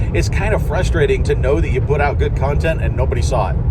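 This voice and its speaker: Noticeable background noise and audible room echo surround a man who talks at a fairly quick pace. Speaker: YouTuber and reseller. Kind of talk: casual advice talk to camera. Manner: announcer-like radio delivery; halting, repeats words.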